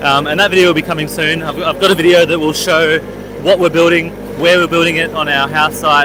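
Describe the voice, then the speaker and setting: A high-pitched man with an Australian accent at a very fast pace, in a monotone, flat intonation, amid noticeable background noise. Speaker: homesteader and vlogger. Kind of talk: casual chat. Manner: hesitant, many filler words.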